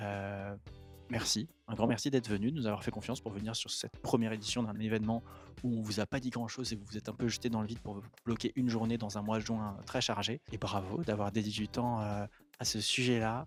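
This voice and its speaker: At a fairly quick pace, a man speaks with fairly even intonation and a medium pitch. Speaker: company staff, event organiser. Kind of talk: casual interview at an event. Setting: at a seminar, workshop in progress nearby. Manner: hesitant, many fillers.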